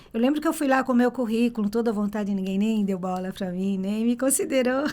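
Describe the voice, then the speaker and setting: Fairly high, dark and mellow, a woman's voice at a fairly quick pace with ordinary pitch variation. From Brazil. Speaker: tour guide. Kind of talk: interview.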